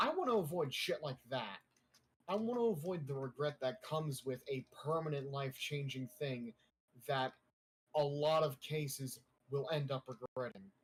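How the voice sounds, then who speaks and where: This man's voice is somewhat breathy. He speaks at a fairly high pitch. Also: ordinary pitch variation, moderate pace. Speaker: gaming streamer. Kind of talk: casual chat. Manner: whispering.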